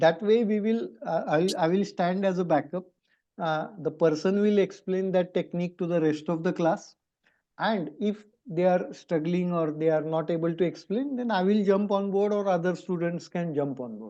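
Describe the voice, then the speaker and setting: High-pitched male voice with a dark, mellow tone and ordinary pitch variation, over a quiet background. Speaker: math teacher. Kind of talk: online class discussion. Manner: slow.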